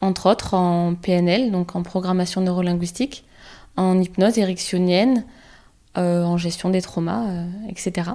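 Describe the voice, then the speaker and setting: Speaking at a moderate pace with long, frequent pauses, a woman uses fairly even intonation in a medium-pitched voice with a dark, mellow tone. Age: 30s. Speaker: psychologist, podcast host. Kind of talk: podcast monologue.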